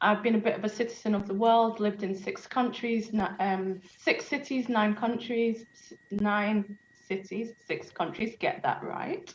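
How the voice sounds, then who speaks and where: A somewhat breathy woman with a British accent, fairly high in pitch, at a fairly slow pace with ordinary pitch variation and hardly any pauses. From UK. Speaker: moderator, business executive. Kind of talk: panel moderation.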